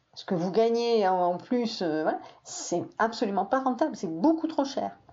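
A woman's fairly high voice at a fairly slow pace, full of very wide pitch swings. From southern France, Perpignan area. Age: 60s. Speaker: teacher recounting her father's life. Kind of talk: personal testimony interview. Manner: halting, with many hesitations.

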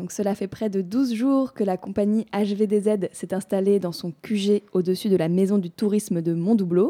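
A woman with a dark, mellow tone speaks at a medium pitch and a fairly slow pace, with fairly even intonation and hardly any pauses. The sound is dry and close with no echo, in a very clean recording over a silent background. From Perche region, France (Soudé). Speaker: community radio host. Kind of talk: scripted presentation.

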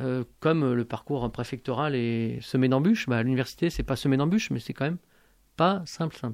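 At a fairly quick pace, a man uses an ordinary speaking voice with a medium pitch and ordinary pitch variation. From born in Algeria. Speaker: university math lecturer and activist. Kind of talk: radio interview. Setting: radio studio, live.

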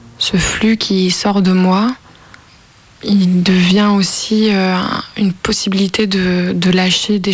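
A woman speaks at a medium pitch in a flat monotone, with noticeable background noise. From Lyon, France. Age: 20s. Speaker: interviewee, amateur actress. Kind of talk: personal testimony.

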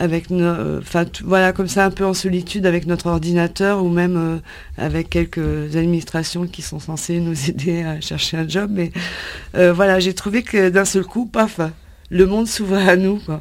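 Noticeable background noise sits behind a woman's fairly low voice. She talks at a fairly slow pace with fairly even intonation. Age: 50s. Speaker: job seeker, HR consultant. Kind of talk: radio interview. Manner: halting.

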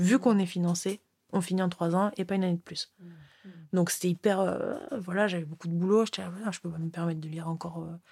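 A woman's somewhat breathy, fairly low voice at a moderate pace with ordinary pitch variation. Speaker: former PhD student. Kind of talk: interview conversation.

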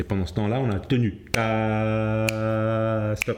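A man speaks very slowly, his pitch fairly low. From Cape Verde and Senegal, then Switzerland. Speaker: jazz pianist and music theorist. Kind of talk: interview explanation.

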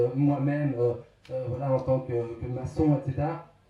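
In an ordinary speaking voice, a man talks at a fairly slow pace with fairly even intonation. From southern Aveyron, France. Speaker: author. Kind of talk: panel debate.

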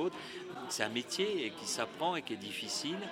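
A man speaks at a moderate pace, with music in the background. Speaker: historian. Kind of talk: explanatory interview. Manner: fluent, didactic, emphatic.

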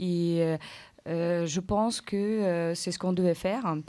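A woman's very slow, fairly low-pitched voice with a Ukrainian accent, fairly even intonation and a dark, mellow tone, on a very clean recording with a silent background. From Ukraine. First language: Ukrainian (speaking French). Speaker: translator. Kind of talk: interview on school radio.

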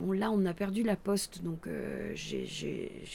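With vocal fry and a dark, mellow tone, a woman speaks at a fairly low pitch. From Roya valley, Alpes-Maritimes, France. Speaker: clown performer. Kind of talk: interview. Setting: open veranda.

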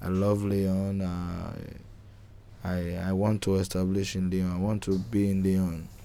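A man speaks very slowly in a very deep, low voice with a dark, mellow tone and flat, monotone intonation. Long, frequent pauses break up his speech, and room echo is audible. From Nigeria. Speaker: homeless migrant. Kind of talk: interview testimony. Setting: outdoors. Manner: halting.

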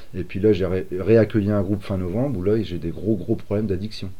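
Fairly quick and fairly low, a man speaks in a dark, mellow tone. Audible room echo surrounds his voice. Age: 40s. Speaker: youth training coordinator. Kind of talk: interview. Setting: training centre premises. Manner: hesitant, many fillers.

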